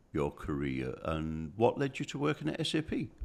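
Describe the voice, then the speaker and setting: A northern English accent at a moderate pace, in a very clean recording with a silent background. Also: man. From northern England. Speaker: interview host. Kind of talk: interview.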